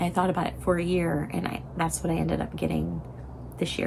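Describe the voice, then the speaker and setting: A woman speaks at a very fast pace, with audible room echo and noticeable background noise. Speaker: knitting vlogger and professor. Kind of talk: casual vlog chat. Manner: halting, lots of fillers.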